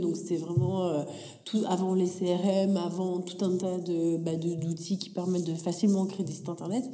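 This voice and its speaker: Speaking fairly slowly, a woman is heard amid noticeable background noise and audible room echo. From France, Paris region, adolescence in Africa. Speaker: tech entrepreneur. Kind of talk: interview.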